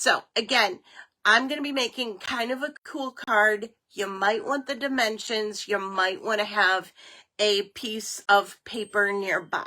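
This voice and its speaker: A woman speaks at a fairly slow pace. Her pitch is fairly high and her tone bright and sharp. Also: ordinary pitch variation. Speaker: crafting tutorial host. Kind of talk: tutorial. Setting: studio. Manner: casual, halting.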